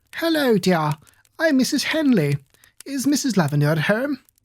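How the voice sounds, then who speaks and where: A put-on character voice, female-sounding, squeaky and shrill, in a high pitch with very wide pitch swings. It moves at a moderate pace. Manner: trying to sound polite.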